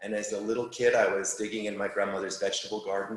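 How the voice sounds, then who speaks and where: With a New York accent, a man talks over audible room echo. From New York City. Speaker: landscape architect. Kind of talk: lecture. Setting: live talk with audience, also streamed on Zoom.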